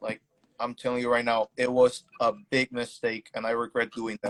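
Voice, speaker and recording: A man's voice with a dry, close sound and no echo. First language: not English. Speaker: concert attendee recounting event. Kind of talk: testimony. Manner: halting.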